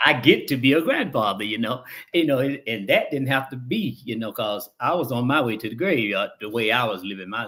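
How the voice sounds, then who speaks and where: The speaker uses an American accent with ordinary pitch variation and hardly any pauses. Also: man. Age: 60s. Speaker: recovering addict, chairman of a 12-step program. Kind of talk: interview, personal testimony. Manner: halting, many repetitions and fillers.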